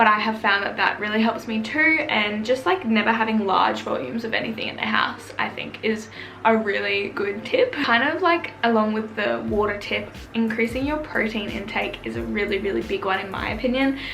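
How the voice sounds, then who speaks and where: A woman with an Australian accent speaks at a moderate pace, her pitch fairly high with ordinary variation. Noticeable background noise can be heard. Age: 20s. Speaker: YouTuber. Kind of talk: casual talk to camera.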